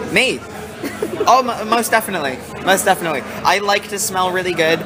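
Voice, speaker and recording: A man's raised, projected voice, high in pitch, at a very fast pace with an American accent, plus audible room echo and music in the background. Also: ordinary pitch variation. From United States. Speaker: rock band singer. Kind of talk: casual interview.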